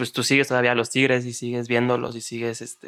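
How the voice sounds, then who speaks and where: A man's medium-pitched, bright, sharp voice in a very clean recording with a silent background. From Mexico City. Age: 20s. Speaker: podcast co-host. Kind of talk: casual chat.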